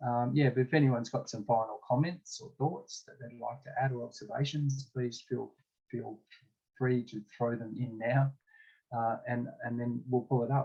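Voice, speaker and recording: A somewhat breathy man speaks at medium pitch and a moderate pace, with fairly even intonation and big swings in loudness. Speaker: discussion facilitator. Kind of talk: online group discussion.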